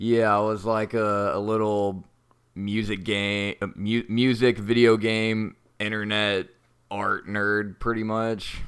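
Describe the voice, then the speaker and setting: In a very clean recording with a silent background, a man speaks very slowly in a flat monotone at a fairly low pitch. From North Texas, US. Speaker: podcast co-host. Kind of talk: interactive story narration; casual chat.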